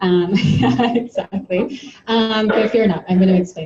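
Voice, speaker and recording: Her medium-pitched voice has a dark, mellow tone and is somewhat breathy, and this woman uses ordinary pitch variation. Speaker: presenter at an essential oils meeting. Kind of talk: presentation to a live audience. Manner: conversational, many fillers.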